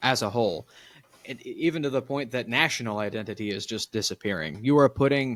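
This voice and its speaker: A man with an American accent at a very fast pace, medium pitch, lively intonation, and a dry, close sound with no echo. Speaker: podcast host. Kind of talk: casual chat.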